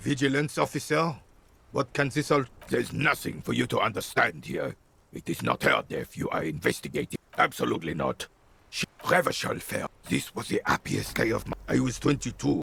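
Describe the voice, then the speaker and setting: A man uses a put-on character voice. The recording is dry and close, with no echo. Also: moderate pace. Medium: video game.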